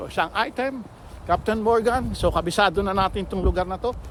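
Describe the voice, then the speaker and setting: A man talks fairly quickly at a high pitch with ordinary pitch variation. Noticeable background noise sits behind him. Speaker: delivery driver vlogger. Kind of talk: casual vlog narration.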